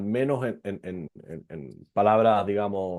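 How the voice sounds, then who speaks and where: Ordinary pitch variation marks a man's fairly low voice with a dark, mellow tone. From Chile. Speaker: venture capital lawyer. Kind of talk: online presentation. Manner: fast; hesitant, many fillers.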